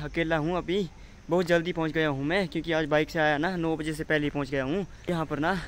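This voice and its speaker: Monotone, flat intonation from a man over light background noise. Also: dry sound with no echo. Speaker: construction worker vlogger. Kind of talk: casual vlog chat. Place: open country. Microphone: phone near.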